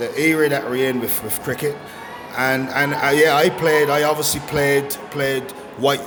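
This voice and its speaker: With music in the background and audible room echo, a man speaks at a moderate pace in a fairly high voice. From Barbados. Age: 60s. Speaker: former cricketer. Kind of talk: interview. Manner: halting, many repetitions.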